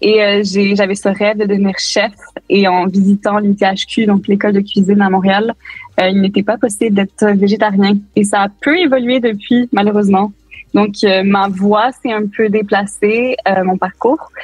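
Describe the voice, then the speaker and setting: A woman speaks at a medium pitch and a moderate pace. Her voice is somewhat breathy, with a monotone, flat intonation. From Quebec, Montreal. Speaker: designer. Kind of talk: interview.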